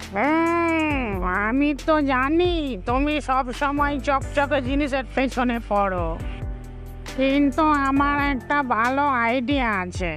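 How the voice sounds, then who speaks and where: A high-pitched, cartoonish character voice talks at a very slow pace while clear music plays in the background. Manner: calm, reassuring.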